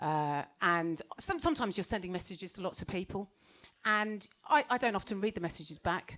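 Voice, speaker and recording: A woman's medium-pitched voice in a British accent, animated in tone, fairly quick, with lively intonation. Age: 40s. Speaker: stand-up comedian. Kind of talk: stand-up. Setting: stage with audience.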